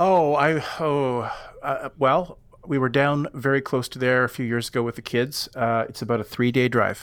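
A man is speaking here. He has an ordinary speaking voice with a medium pitch. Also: moderate pace. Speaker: podcast guest, YouTuber and backpacker. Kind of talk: casual chat.

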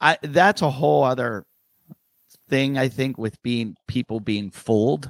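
A normal speaking voice with lively intonation and a dry, close sound with no echo. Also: man, medium pitch for a man. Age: 50s. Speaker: stand-up comedian. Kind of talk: casual chat. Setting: video call.

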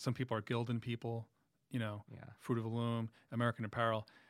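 A man speaks with a New York accent at a medium pitch. The sound is dry and close, with no echo. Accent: New York City. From Queens, New York City. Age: 40s. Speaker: music journalist and musician. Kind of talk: casual interview chat.

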